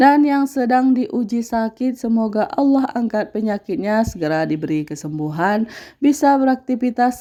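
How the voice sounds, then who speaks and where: With a dark, mellow tone and very wide pitch swings, a woman talks at a fairly slow pace and fairly high pitch on a very clean recording with a silent background. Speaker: housewife vlogger. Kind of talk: voice-over narration of daily vlog. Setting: home, dubbed voice-over. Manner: casual, hesitant with fillers.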